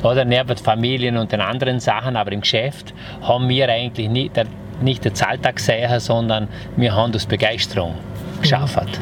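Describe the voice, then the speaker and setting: Over noticeable background noise, a man of medium pitch talks at a fairly quick pace, his intonation fairly even and his loudness very even. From Vorarlberg, Austria (Lustenau). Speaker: entrepreneur, hotelier and former property developer. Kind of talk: casual interview. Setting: on location at his house.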